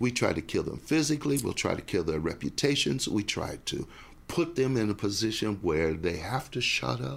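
Using vocal fry, a man speaks at a moderate pace in a fairly low voice with very wide pitch swings. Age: 60s. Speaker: minister and professor. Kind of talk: casual interview chat. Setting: studio.

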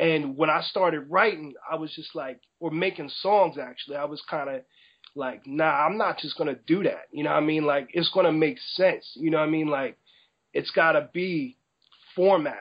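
With a New Jersey accent, a man talks at a moderate pace in a fairly high voice with ordinary pitch variation. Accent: New Jersey American English. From New Jersey, US. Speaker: rapper. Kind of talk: interview.

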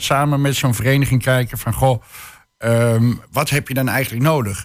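A man speaks at a fairly slow pace with fairly even intonation and a medium pitch. The recording is very clean, with a silent background. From Hengelo, Twente. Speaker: social entrepreneur. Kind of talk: radio panel discussion. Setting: studio. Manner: halting, many fillers.

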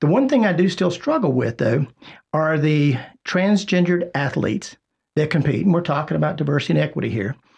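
Lively in intonation, a man with a normal speaking voice talks at a fairly quick pace and a fairly high pitch. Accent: American. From South Carolina (Rock Hill). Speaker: radio host and chamber of commerce president. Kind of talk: radio talk show hosting. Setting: radio studio.

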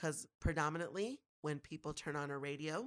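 A woman's very deep, low voice at a moderate pace. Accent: American. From Minnesota, Twin Cities. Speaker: radio host. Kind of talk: casual chat. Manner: animated.

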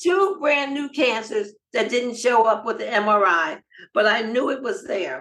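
Using a normal speaking voice, a woman talks at a fairly slow pace with a fairly high pitch and lively intonation. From US, Los Angeles. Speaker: nonprofit founder and cancer survivor. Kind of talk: interview.

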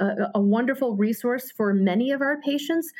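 A woman talks at a moderate pace with ordinary pitch variation and an ordinary speaking voice. The recording is very clean, with a silent background. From Hartford, Connecticut. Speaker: health center executive. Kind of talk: interview.

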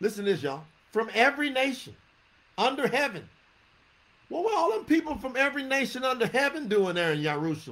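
The speaker has a Southern US accent and an animated tone, talking at a very fast pace with very wide pitch swings. Long, frequent pauses break up the speech. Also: man, extremely high pitch for a man. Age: 50s. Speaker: religious teacher. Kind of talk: sermon. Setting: livestream.

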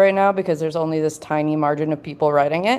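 A woman with an ordinary speaking voice talks at a fairly low pitch with fairly even intonation. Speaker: developer tools builder. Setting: live show on stage.

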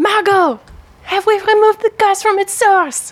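A woman puts on a squeaky character voice at an extremely high pitch, moving at a moderate pace with fairly even intonation. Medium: actual play.

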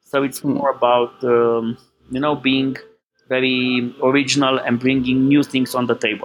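A man with a Romanian accent at a moderate pace, medium in pitch, his intonation fairly even, with music in the background. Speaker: business owner. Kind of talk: interview.

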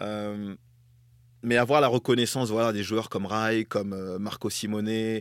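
A man speaks very slowly at a fairly low pitch, with monotone, flat intonation. The recording is very clean, with a silent background. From northern France. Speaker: former footballer and TV pundit. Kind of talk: casual interview.

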